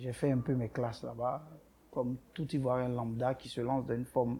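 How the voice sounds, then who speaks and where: A dark, mellow tone marks this man's somewhat breathy voice. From Ivory Coast. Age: 30s. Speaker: boutique owner. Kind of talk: interview.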